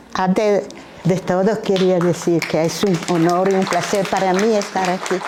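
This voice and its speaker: Over crowd noise in the background, a woman speaks fairly slowly in a flat, monotone way, with audible echo in the room. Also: medium pitch for a woman. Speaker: professor. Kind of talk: lecture. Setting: auditorium. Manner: halting.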